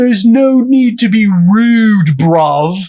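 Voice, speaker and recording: A man puts on a character voice in a strong British accent, pitched high and delivered at a very slow pace. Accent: thick British. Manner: yelling.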